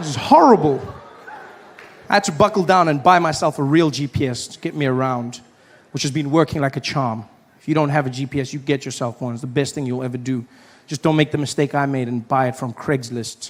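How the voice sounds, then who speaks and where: Speaking with a South African accent at a fairly quick pace, this voice shows ordinary pitch variation and big swings in loudness. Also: man, fairly high pitch for a man. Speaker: stand-up comedian. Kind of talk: stand-up comedy set. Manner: casual, storytelling.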